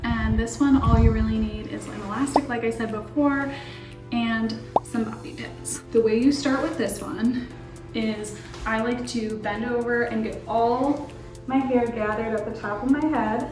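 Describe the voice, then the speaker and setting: The speaker keeps a moderate pace. Clear music plays in the background. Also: woman. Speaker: hair tutorial host. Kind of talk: tutorial. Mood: upbeat, friendly. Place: bathroom. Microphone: camera far.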